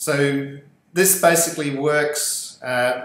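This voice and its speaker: The speaker has an Australian accent. Audible room echo surrounds the voice. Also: man. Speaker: podcast host. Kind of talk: interview.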